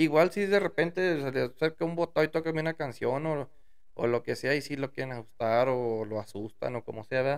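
A man with a fairly high pitch at a fairly quick pace, ordinary pitch variation and a quiet background. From Mexico, Durango sierra; Mexico. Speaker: musician; podcast guest. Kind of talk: casual interview. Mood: relaxed, friendly. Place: home room. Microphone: studio mic.

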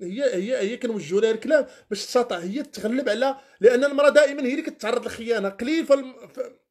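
Against a quiet background, a man with an extremely high voice talks at a very fast pace in an animated tone, with ordinary pitch variation. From Morocco. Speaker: Islamic preacher. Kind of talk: religious talk on a live stream. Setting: live stream. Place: home room. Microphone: phone near.

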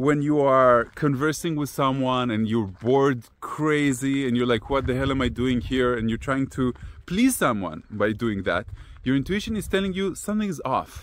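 A man speaks at a moderate pace with lively intonation. The sound is dry, with no echo. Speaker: personal growth teacher. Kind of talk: casual vlog talk, teaching. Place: open country. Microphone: phone near.

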